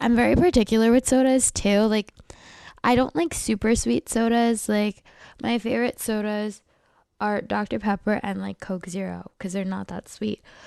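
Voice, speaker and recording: Her dark, mellow tone comes through a dry, close sound with no echo as the woman talks at a moderate pace with ordinary pitch variation. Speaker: podcast host. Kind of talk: casual chat. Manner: casual, filler-heavy.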